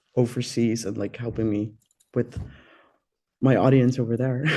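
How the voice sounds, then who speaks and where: A man with a Dutch accent speaks at a moderate pace and medium pitch with fairly even intonation. His tone is dark and mellow. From Netherlands, Amsterdam. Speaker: singer. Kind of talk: interview. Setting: radio studio.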